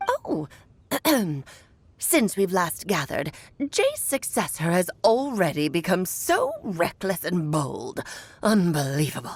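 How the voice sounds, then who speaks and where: A woman puts on a character voice at a medium pitch. She goes at a fairly slow pace with long, frequent pauses. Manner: imitating an old woman's speech.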